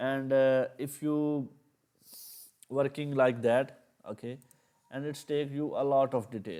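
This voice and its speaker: A man with a non-native accent and a dark, mellow tone, at a fairly slow pace with long, frequent pauses and fairly even intonation. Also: medium pitch for a man. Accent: non-native English, by own account. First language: Urdu. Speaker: ethical hacking teacher. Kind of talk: tutorial. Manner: halting.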